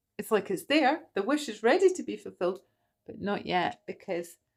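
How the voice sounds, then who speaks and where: A woman of medium pitch speaks at a moderate pace with lively intonation, in a Scottish accent. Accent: Scottish accent coming through. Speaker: tarot reader. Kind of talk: livestream tarot reading. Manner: animated.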